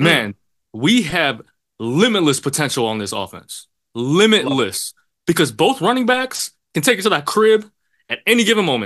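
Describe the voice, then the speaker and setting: In an American accent, the speaker talks at a moderate pace against a quiet background, pitch swinging very widely, with vocal fry. Long pauses come often. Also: man, fairly high pitch for a man. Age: 20s. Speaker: sports podcast co-host. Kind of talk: casual chat.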